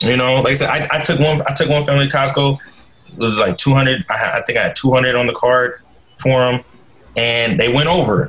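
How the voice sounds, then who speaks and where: Talking at a fairly quick pace with a normal speaking voice, a man with an American accent keeps his intonation fairly even at a fairly high pitch. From US Pacific Northwest, Portland, Oregon. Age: 30s. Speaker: school social worker and nonprofit director. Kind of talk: casual interview chat.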